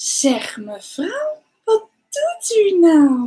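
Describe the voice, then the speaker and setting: A woman puts on a squeaky character voice at an extremely high pitch. Her pitch swings very widely. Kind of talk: tutorial. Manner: cold, grumpy.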